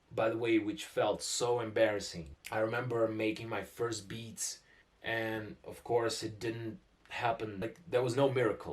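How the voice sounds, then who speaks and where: A man with a Russian accent speaks at a fairly slow pace. His medium-pitched voice is somewhat breathy. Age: 20s. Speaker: musician and producer. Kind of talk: casual vlog talk to camera.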